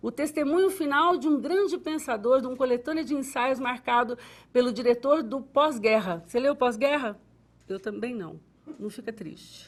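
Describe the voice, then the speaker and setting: A woman speaks in an animated tone with lively intonation and a high pitch. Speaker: TV show host. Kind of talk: TV book recommendation segment. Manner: stuttering today.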